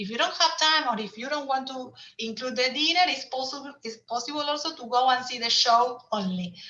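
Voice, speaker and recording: Over noticeable background noise, a woman uses a raised, projected voice at a high pitch, talking at a fairly quick pace with ordinary pitch variation and big swings in loudness. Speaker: tour operator presenter. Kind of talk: webinar presentation. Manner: halting.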